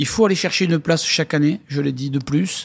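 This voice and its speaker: An unremarkable speaking voice from a man, fairly high in pitch, at a moderate pace on a very clean recording with a silent background. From southwest France, Lourdes (Hautes-Pyrénées). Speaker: rugby club president. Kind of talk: interview. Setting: in a stadium stand.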